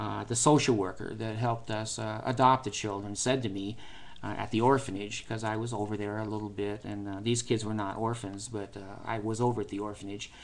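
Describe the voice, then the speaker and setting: A man with an American accent talks at a fairly quick pace. His intonation is monotone and flat. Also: fairly low pitch for a man. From United States. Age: 60s. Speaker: vlogger. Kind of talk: personal vlog monologue. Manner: hesitant, many fillers.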